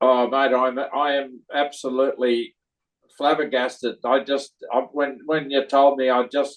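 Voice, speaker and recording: In an Australian accent, a man speaks at a fairly slow pace with monotone, flat intonation. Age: 80s+. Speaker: cinema owner, award recipient. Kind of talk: interview. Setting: video call. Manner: halting, many fillers.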